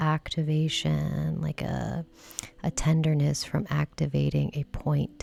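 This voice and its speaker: A soft-spoken woman is talking. Her pace is very slow. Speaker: massage therapist and self-care instructor. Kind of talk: relaxation self-care instruction, ASMR-style demonstration. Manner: soft-spoken, slow, relaxed.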